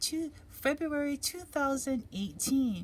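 Lively intonation from a somewhat breathy voice, over light background noise. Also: woman. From Hawaii. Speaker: tarot card reader; tarot reader. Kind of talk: tarot reading for viewers; card reading commentary. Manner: relaxed, hesitant with fillers. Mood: calm, gentle, encouraging. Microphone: phone near.

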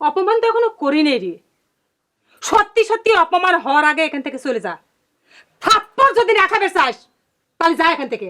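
A woman uses a put-on character voice at an extremely high pitch with a bright, sharp tone. She moves at a fairly quick pace with big pitch swings.

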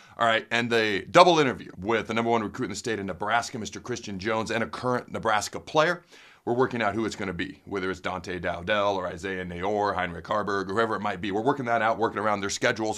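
A man talks at a very fast pace with hardly any pauses, his tone bright and sharp. His pitch varies in an ordinary way against a quiet background. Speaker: sports show host. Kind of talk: energetic sports commentary. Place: studio.

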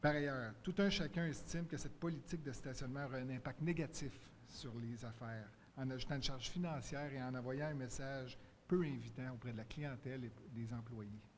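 Over light background noise, a man talks at a fairly quick pace. His voice is somewhat breathy, with ordinary pitch variation. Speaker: shop owner and merchants' association president. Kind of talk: public consultation statement. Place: hall. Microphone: podium.

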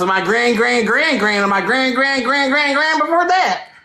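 A woman with an American accent talks at a fairly quick pace with lively intonation over noticeable background noise. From US South (Louisiana). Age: 20s. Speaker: livestreamer chatting with strangers. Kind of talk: casual chat. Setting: video call. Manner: loud; brash, teasing.

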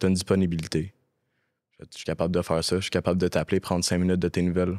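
The background is quiet as a man speaks very fast. His pitch is very deep and low. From Quebec. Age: 20s. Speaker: actor and casting director in addiction recovery. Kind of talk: personal testimony in casual interview. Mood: serious, reflective, personal story. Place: studio. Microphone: studio mic.

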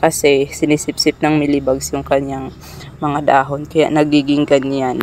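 At a fairly slow pace, a woman speaks with low pitch and a slightly mellow tone against faint background noise.

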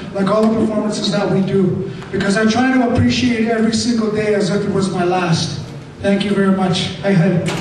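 There is noticeable background noise and audible room echo. A man speaks fairly quickly with fairly even intonation. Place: hall. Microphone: camera far.

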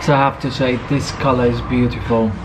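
A man's voice over clear background noise.

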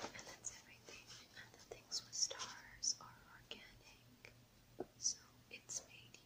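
A woman whispers at a fairly slow pace. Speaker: ASMR creator. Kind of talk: ASMR unboxing. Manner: whispered. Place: home room.

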